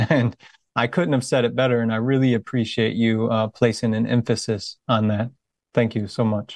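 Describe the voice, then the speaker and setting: A man with an American accent speaks in a plain, everyday voice at medium pitch. The sound is dry and close, with no echo. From USA. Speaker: volunteer interviewer, veteran. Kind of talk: interview.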